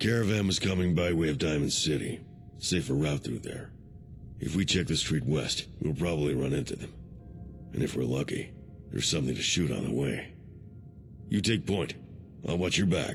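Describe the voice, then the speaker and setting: Using a put-on character voice, a man speaks with long, frequent pauses over clear background noise. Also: moderate pace. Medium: video game. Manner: clipped, laconic.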